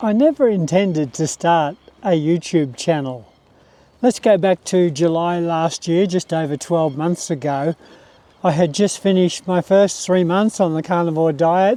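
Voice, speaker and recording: A dark, mellow tone with an Australian accent at a fairly slow pace, in a dry, close sound with no echo. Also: man, high pitch for a man, ordinary pitch variation. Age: 60s. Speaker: retired pensioner, carnivore diet YouTuber. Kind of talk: casual talk to camera.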